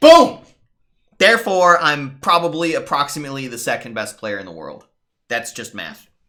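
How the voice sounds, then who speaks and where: A man at a moderate pace swings very widely in pitch and loudness, his tone bright and sharp. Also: fairly high pitch for a man, very clean recording, silent background. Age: 30s. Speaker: game streamer. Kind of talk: casual live-stream commentary. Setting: live stream.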